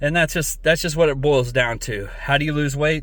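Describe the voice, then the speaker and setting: With audible room echo around him, a man speaks fairly quickly at a fairly high pitch. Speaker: fitness vlogger. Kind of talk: casual vlog monologue. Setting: bathroom, then outdoors in a parking lot. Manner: loud.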